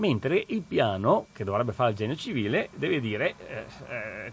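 A man talks at a moderate pace in a medium pitch. His voice is somewhat breathy, with lively intonation. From Veneto, province of Treviso. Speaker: regional councillor, radio guest presenter. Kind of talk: radio talk and call-in discussion. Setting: radio studio. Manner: hesitant, many fillers.

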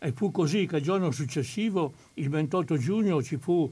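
On a very clean recording with a silent background, a man with a plain, everyday voice talks at a moderate pace with ordinary pitch variation. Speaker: historian of the resistance. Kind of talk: historical talk. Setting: studio.

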